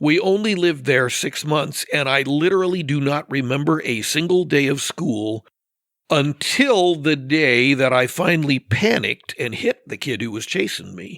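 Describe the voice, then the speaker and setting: With an American accent and an unremarkable speaking voice, a man talks at a moderate pace in a fairly high pitch, his intonation lively. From US West Coast (Northern California and Oregon). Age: 60s. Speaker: podcast guest. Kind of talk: casual podcast discussion.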